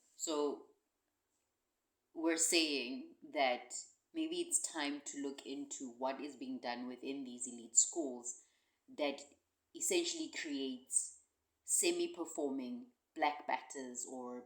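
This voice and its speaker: A woman with a South African accent speaks at a fairly slow pace, with long, frequent pauses and big swings in loudness. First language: Xhosa. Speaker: podcast co-host, cricket commentator. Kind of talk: casual chat. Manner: halting.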